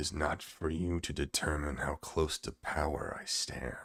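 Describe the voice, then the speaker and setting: A put-on character voice, gravelly and growling, keeps a monotone, flat intonation at a moderate pace. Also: man, very deep, low pitch for a man. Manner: haughty.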